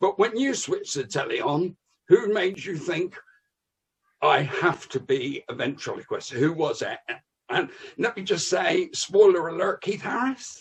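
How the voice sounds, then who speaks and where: A man speaks in a West Country accent. His pace is fairly slow. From West Country, England. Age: 60s. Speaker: comedian. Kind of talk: casual chat.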